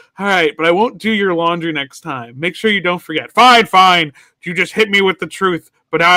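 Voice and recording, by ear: This is reading aloud in a natural voice with ordinary pitch variation. The background is quiet.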